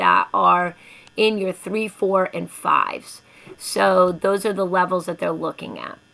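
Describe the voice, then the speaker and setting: Noticeable background noise sits behind the recording. A woman speaks at medium pitch and a moderate pace. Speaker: elementary school teacher. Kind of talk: informational presentation to parents.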